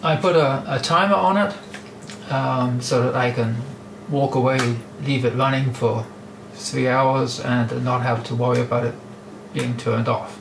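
Against noticeable background noise, a man talks at a fairly slow pace with long, frequent pauses. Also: ordinary pitch variation. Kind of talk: tutorial. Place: workshop. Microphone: camera far.

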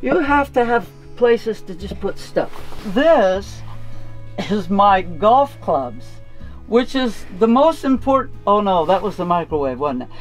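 A woman at a fairly slow pace, with long, frequent pauses and faint music in the background. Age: 70s. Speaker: van lifer. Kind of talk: casual van tour talk to camera. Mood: humorous, relaxed. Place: car. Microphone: camera far.

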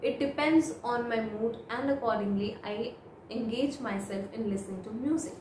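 A woman in an Indian accent at a fairly high pitch, with ordinary pitch variation and a moderate pace, amid light background noise and audible room echo. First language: Hindi. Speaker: IELTS speaking tutor. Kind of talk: model exam answers, tutorial. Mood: calm, friendly. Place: home room.

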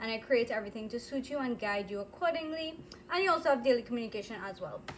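Light background noise sits behind a woman whose pitch varies in an ordinary way. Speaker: dietitian hosting a cooking stream. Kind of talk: casual live cooking chat. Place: kitchen. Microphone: phone near.

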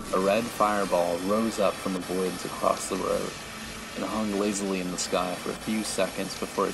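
Fairly even intonation marks this voice reading aloud in a natural voice.

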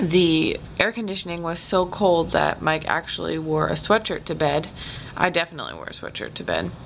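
Speaking at a fairly quick pace, a woman with a fairly low pitch is heard over light background noise. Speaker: vlogger. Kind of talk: casual vlog chat. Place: home room.

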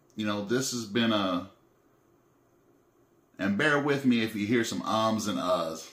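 A man with a fairly low pitch talks in a room with audible echo. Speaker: vlogger. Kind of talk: casual vlog chat, reflective. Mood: calm, reflective, serious. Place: home room. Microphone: phone near.

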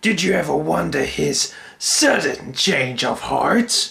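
His voice is raspy. The man speaks in a raised, projected voice. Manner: taunting, desperate.

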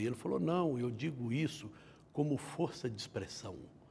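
A man speaks at a moderate pace in a dark, mellow, somewhat breathy tone, with lively intonation and light background noise. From Minas Gerais, Brazil (Patos de Minas); Minas Gerais, Brazil. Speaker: judge. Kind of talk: interview. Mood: calm, reflective. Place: studio. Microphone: lapel.

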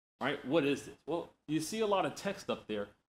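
This man's intonation is lively and his pace fairly quick. Light background noise can be heard. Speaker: conference presenter. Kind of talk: lecture. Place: classroom.

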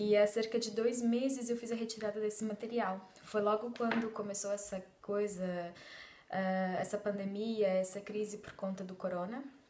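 Light background noise and audible room echo surround a woman speaking in a fairly high, flat monotone at a moderate pace. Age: 30s. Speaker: belly dance student. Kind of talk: testimony. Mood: warm, grateful. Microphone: phone near.

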